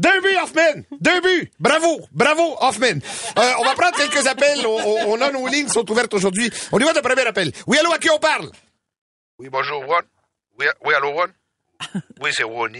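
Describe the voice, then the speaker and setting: Projecting his voice at an extremely high pitch, a man makes very wide pitch swings and leaves long, frequent pauses. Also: moderate pace. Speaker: radio host. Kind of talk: casual chat. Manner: animated.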